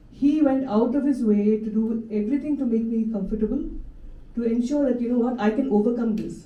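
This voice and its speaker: A woman's somewhat breathy, fairly high voice at a fairly quick pace, with audible room echo. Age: 60s. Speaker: Parkinson's patient speaker, former performer. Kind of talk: personal testimony talk. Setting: stage with audience. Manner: halting, with false starts; animated.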